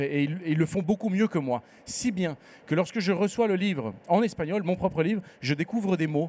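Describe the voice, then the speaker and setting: A man with a high voice at a moderate pace, with ordinary pitch variation. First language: Spanish (speaking French). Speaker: novelist. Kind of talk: literary panel conversation. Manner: hesitant, many fillers.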